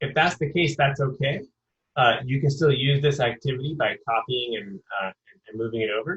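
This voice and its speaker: A man talks at a fairly quick pace and medium pitch. His voice is somewhat breathy. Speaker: professor running a teacher webinar. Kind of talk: webinar tutorial. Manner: fast.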